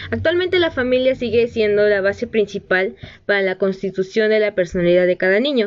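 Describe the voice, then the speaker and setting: A normal speaking voice from a woman, medium in pitch with ordinary pitch variation, at a fairly quick pace. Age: 20s. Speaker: pedagogy student, podcast host. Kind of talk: solo educational talk.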